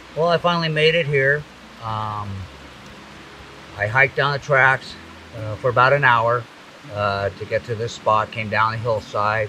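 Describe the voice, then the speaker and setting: Recorded dry with no echo over light background noise, a man talks at a moderate pace with ordinary pitch variation and long, frequent pauses. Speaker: fishing show host. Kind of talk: casual outdoor show talk to camera. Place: forest.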